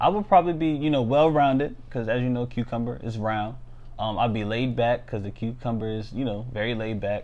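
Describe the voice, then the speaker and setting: Speaking at a fairly quick pace, the man shows ordinary pitch variation. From Maryland, US (St. Mary's County). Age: 20s. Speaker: financial analyst and freestyle rapper. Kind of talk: casual interview. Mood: relaxed, upbeat. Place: home room. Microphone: lapel.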